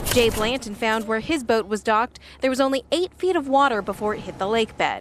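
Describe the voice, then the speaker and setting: The woman uses a normal speaking voice, fairly high in pitch, at a fairly quick pace. Her intonation is lively. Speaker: television news reporter. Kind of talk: TV news reporter delivery, live stand-ups and packages.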